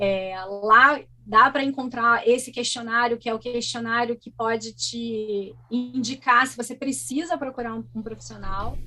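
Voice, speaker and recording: Hardly pausing, a woman speaks at a fairly slow pace and a fairly high pitch. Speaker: guest speaking about living with ADHD. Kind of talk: interview conversation. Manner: animated.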